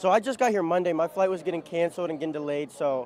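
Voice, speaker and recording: With a Midwestern accent, a man speaks at a very fast pace. His voice is high-pitched, with ordinary pitch variation. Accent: American Midwest. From Ohio, US Midwest. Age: 20s. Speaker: bagpiper. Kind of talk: casual interview.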